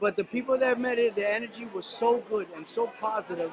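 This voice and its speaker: There is noticeable background noise as a man talks. He moves at a fairly quick pace with fairly even intonation. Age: 60s. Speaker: martial artist attendee. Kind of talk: event interview.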